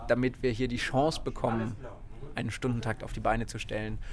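A man talks in a monotone with flat intonation, keeping a moderate pace. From southern Baden, near Freiburg. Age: 20s. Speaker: mayor and rail activist. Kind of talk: interview.

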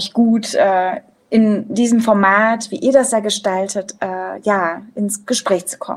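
Very slow speech from a woman at a medium pitch, with fairly even intonation. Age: 30s. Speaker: theatre director and author. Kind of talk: casual chat. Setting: video call.

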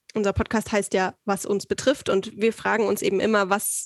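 Medium pitch marks this woman's voice, delivered at a moderate pace. The recording is very clean with a silent background and a dry, close sound with no echo. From Saxony, eastern Germany. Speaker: podcast host, trainee. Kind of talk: casual interview.

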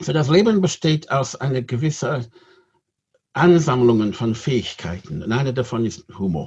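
At a medium pitch and moderate pace, a man speaks with lively intonation and a somewhat breathy voice. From Great Britain. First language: English (speaking German). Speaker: rabbi. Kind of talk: interview.

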